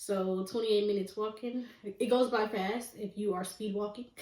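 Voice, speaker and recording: A woman's unremarkable speaking voice with an American accent, medium pitch, fairly even intonation and a moderate pace. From United States. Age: 20s. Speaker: podcast host and life coach. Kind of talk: casual monologue podcast.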